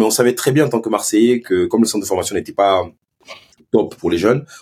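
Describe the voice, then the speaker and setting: A man's dark, mellow tone. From Marseille, northern districts. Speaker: former professional footballer. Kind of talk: interview. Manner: halting, repeats words.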